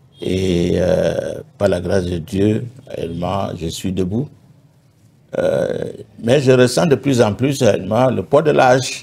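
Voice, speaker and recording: His pace is very slow. The man leaves long pauses, and often. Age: 70s. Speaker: pastor. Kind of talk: testimony. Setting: TV studio.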